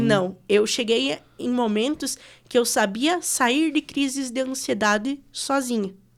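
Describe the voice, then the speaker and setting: The recording is very clean, with a silent background. A woman with fairly high pitch uses a normal speaking voice and ordinary pitch variation. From West of Santa Catarina, Brazil. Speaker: radio announcer. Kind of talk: podcast interview answer.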